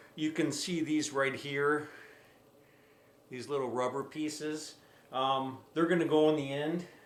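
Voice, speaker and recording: A man speaks with fairly even intonation. Noticeable background noise and audible room echo surround him. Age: 60s. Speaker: drywall contractor YouTuber doing product review. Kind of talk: product review tutorial. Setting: at home. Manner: casual, repetitive with frequent self-restarts.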